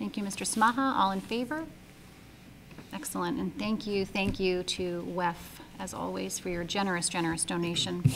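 A woman's fairly quick speech broken by long, frequent pauses, over noticeable background noise. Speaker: school committee chair running the meeting. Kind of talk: formal procedural. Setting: public meeting. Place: meeting room. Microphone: podium.

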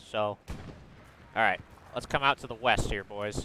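Over noticeable background noise, a man with a bright, sharp tone speaks at a moderate pace in a dry sound with no echo. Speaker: gamer leading a squad. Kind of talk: casual gaming chat. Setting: online voice chat. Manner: animated. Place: home room.

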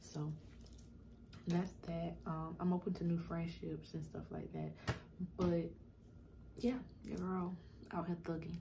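A quiet woman at a fairly slow pace with long, frequent pauses, over noticeable background noise. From South Carolina. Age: 20s. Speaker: YouTuber; vlogger. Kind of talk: casual vlog Q&A. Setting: at home in apartment. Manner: quiet, talking low. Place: home room. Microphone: phone near.

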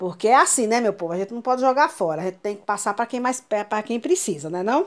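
A woman's unremarkable speaking voice, fairly high and with lively intonation, over a quiet background. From Brazil. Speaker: YouTuber, grandmother; YouTuber. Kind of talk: casual vlog. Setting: at home. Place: home room. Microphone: phone near.

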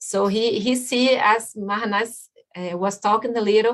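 In a Brazilian Portuguese accent, a woman speaks at a moderate pace with fairly even intonation against a quiet background. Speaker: landscape architect; guest. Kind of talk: presentation. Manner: halting. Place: home room. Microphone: webcam.

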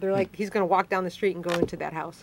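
A woman speaks at a medium pitch with a Chicago accent. Her intonation stays fairly even over light background noise. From Chicago, northwest side. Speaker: city council member. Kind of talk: live call-in interview. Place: studio.

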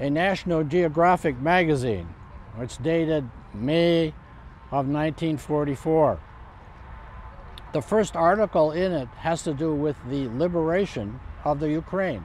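A man talks at a fairly slow pace with ordinary pitch variation and long, frequent pauses, in a dry sound with no echo over light background noise. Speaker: living history reenactor, amateur military historian. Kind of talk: interview answer. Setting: outdoors. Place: open country.

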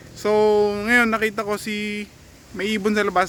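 A man speaks in a raised, projected voice at a high pitch, with noticeable background noise behind him. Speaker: pigeon racing vlogger. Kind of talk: casual vlog narration. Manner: excited, halting.

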